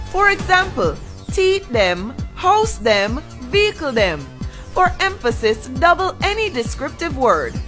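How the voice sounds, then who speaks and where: A woman talks at a very slow pace while music plays behind her. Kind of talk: informal explainer narration.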